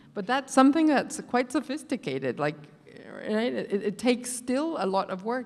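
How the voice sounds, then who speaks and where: A woman speaks at a moderate pace with vocal fry. Her pitch swings very widely. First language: not English. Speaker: professor. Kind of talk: panel discussion.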